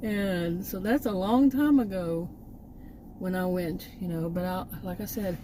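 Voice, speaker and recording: A woman with a Texan accent speaks fairly slowly in a fairly low voice, her intonation lively. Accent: Texan (US Southern). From Texas. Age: 60s. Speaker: vlogger, former college teacher. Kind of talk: casual vlog monologue. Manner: halting, many fillers and restarts.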